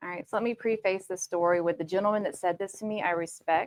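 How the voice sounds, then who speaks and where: A woman's voice in a Southern US accent, fairly even in intonation, with a dry, close sound and no echo. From US South, Georgia. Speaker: tech manager, panelist. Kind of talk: panel discussion.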